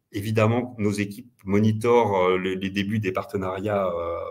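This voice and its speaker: A man with a plain, everyday voice, medium pitch and a moderate pace. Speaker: payment company representative. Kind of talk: webinar presentation and Q&A.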